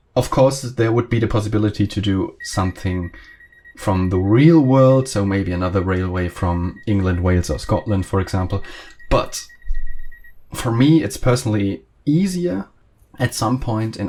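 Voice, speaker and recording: A man with a German accent speaks at a moderate pace in a fairly low pitch, somewhat breathy, with a dark, mellow tone and ordinary pitch variation. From Germany. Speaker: train simulator content creator. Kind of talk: casual video commentary. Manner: halting, many fillers.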